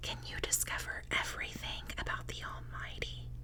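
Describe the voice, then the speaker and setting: Whispering, a woman goes along very slowly. There is noticeable noise behind her. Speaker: ASMR content creator. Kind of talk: whispered Bible reading. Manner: whispered.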